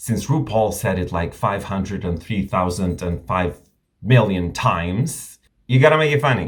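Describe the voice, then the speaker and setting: An animated man with a non-native accent, fairly low in pitch, somewhat breathy, at a moderate pace. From Romania. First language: not English. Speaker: drag queen reviewer, YouTuber. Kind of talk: video review monologue. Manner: animated, casual.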